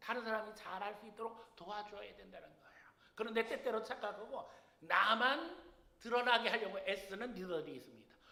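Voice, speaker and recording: A man with a high pitch uses a raised, projected voice, with big swings in loudness, audible room echo and noticeable background noise. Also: ordinary pitch variation, fairly quick pace. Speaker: senior pastor. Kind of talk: sermon. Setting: church.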